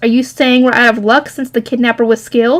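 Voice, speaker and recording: In a put-on character voice, a woman speaks at a very fast pace. Her pitch is high. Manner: chilly, cold.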